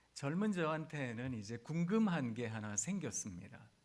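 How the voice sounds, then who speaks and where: In a room with audible echo, a man speaks fairly slowly with very wide pitch swings. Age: 50s. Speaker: pastor. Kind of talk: sermon. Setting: chapel service for hospital staff.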